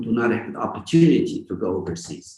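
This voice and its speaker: At a fairly quick pace, this man's voice comes out somewhat breathy. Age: 80s+. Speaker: tech entrepreneur. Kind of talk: interview.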